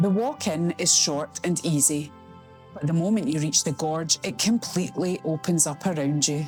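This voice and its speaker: A woman with a Scottish accent speaks at a fairly slow pace and a fairly low pitch. Her pitch variation is ordinary, with music in the background. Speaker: travel vlogger. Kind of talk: travel video voiceover.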